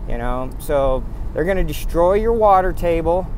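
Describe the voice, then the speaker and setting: Lively intonation from a man, in dry sound with no echo and light background noise. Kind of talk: casual vlog rant. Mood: angry, bitter. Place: car. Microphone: phone near.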